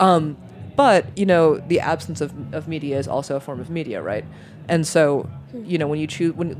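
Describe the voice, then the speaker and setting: A woman speaks in a very deep, low pitch with ordinary pitch variation. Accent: American. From New York. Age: 30s. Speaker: food media editor. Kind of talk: casual interview.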